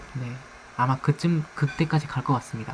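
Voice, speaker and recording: A soft-spoken man talks at a fairly high pitch with fairly even intonation. Noticeable background noise is present. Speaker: streamer. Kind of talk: live stream chat. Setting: live stream.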